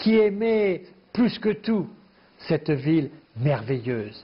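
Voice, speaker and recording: A man at a very slow pace. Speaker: guest commentator. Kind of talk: interview answer. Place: studio. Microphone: lapel.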